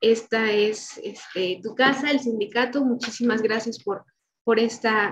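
A woman speaks high and at a fairly slow pace, her intonation monotone and flat. Light background noise sits underneath. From Mexico. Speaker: event coordinator introducing speaker; speaker. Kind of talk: speaker introduction. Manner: halting. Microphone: video call.

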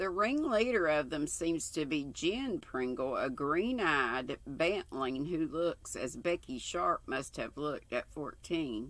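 This woman talks at a very slow pace with a very deep, low pitch and very wide pitch swings. The sound is dry, with no echo. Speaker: craft channel host. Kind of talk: reading a book aloud. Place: home room. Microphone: webcam.

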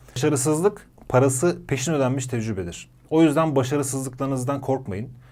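A medium-pitched male voice carrying a dark, mellow tone. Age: 30s. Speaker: entrepreneur. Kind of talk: interview.

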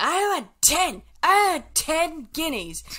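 A shouted, high-pitched put-on character voice. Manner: shouting, demanding.

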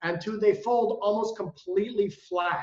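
The audio carries audible room echo. The background is quiet. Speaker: presenter. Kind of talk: product presentation. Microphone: video call.

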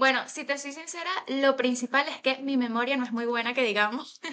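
A woman with a Venezuelan accent speaks at a high pitch and a moderate pace. Her intonation stays fairly even over a quiet background. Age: 20s. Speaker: graphic designer; interview guest. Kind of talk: interview. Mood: cheerful, smiling. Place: home room. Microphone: video call.

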